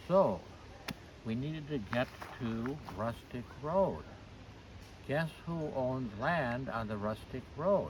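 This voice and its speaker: With long, frequent pauses at a very slow pace, a man of medium pitch uses lively intonation against audible room echo. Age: 80s+. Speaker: trail volunteer and interviewer. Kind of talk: casual interview.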